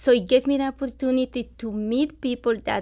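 On a very clean recording with a silent background, a woman speaks at a moderate pace in a high pitch. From Colombia. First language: Spanish. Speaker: nonprofit volunteer. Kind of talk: radio interview. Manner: halting.

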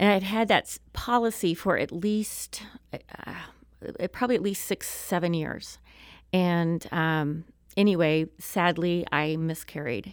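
Against a silent background in a very clean recording, a woman with an American accent speaks fairly slowly at a fairly low pitch with ordinary pitch variation. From southwest Missouri (Springfield). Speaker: state legislator. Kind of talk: interview. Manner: hesitant, many fillers.

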